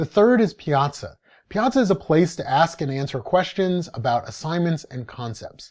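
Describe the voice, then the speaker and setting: In a very clean recording with a silent background, a man with high pitch makes very wide pitch swings. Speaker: university lecturer. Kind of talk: lecture. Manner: fast.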